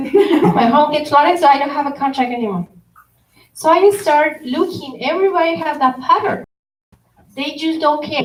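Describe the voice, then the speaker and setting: A woman with a Spanish accent and a high pitch speaks at a moderate pace, using ordinary pitch variation. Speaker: consumer protection official. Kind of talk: workshop presentation. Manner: code-switching Spanish and English.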